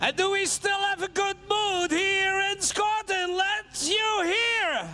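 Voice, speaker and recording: Man in a Dutch accent, raised, projected voice, very wide pitch swings, very slow pace, noticeable background noise. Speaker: tractor pulling event organiser and co-commentator. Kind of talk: live commentary. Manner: halting.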